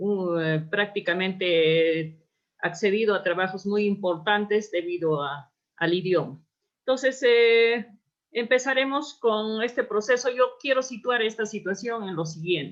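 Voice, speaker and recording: At a fairly slow pace, a woman with an Andean accent talks at a medium pitch with lively intonation. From Peru, Apurímac (Andes). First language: Quechua (speaking Spanish). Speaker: anthropologist and researcher. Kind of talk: lecture. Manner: halting.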